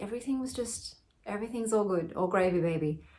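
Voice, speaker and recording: Moderate pace and a somewhat breathy quality in a woman's speech. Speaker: vlogger sharing personal experience. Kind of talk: personal testimony monologue. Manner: rambling, casual.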